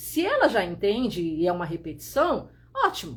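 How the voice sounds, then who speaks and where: A woman is speaking. Her pitch swings very widely. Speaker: visual strategist and photographer teaching online. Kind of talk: live stream tutorial. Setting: Instagram live stream. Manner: clear, open diction; forceful, blunt delivery.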